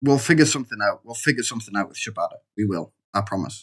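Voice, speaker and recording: A man speaks in a Geordie accent at a fairly low pitch. His intonation is lively. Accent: Geordie (Newcastle). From northern England, Newcastle. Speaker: gaming YouTuber. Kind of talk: let's play commentary. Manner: casual, hesitant with fillers.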